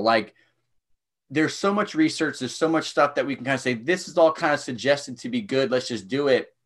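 On a very clean recording with a silent background, a man talks at a fairly quick pace in an unremarkable speaking voice. His intonation is lively. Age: 30s. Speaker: strength coach. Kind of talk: casual chat.

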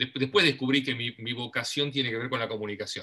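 A man speaks with a Rioplatense accent in a bright, sharp tone. His pitch is medium, with ordinary variation. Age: 50s. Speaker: TV host and producer. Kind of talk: casual interview chat.

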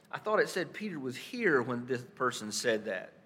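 A man with a North Carolina accent at a fairly quick pace. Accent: Southern US, North Carolina. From Stanley County, North Carolina. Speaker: pastor. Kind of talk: sermon. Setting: church.

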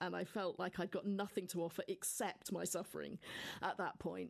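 A woman speaks with a southern English accent. The background is quiet. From Devon, England. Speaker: nun and university chaplain. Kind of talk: interview.

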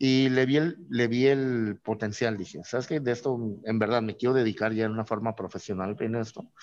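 An unremarkable speaking voice from a man, medium in pitch, at a moderate pace with ordinary pitch variation. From Mexico, Tijuana. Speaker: craft brewer. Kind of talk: casual interview.

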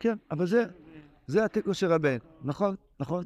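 The sound of this man is dry and close with no echo, his pitch varies in an ordinary way, and the background stays quiet. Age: 60s. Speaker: rabbi teaching Torah text. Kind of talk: lecture. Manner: animated.

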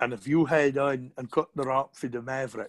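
The sound is dry and close, with no echo. A speaker with a Shetland accent goes at a moderate pace. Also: man. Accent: broad Shetland. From Shetland, island of Burra. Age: 50s. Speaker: fisherman. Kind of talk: casual chat.

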